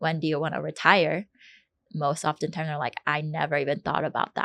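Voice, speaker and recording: A woman's very deep, low voice, bright and sharp in tone, monotone and flat, dry and close with no echo. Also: quiet background. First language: not English. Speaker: podcast co-host, financial advisor. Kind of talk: casual chat. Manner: halting, many fillers.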